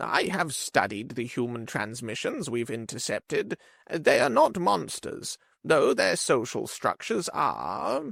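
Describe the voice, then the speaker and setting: A man performs in a put-on character voice at a fairly slow pace. The recording is very clean, with a silent background. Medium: read story. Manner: slow, searching for words.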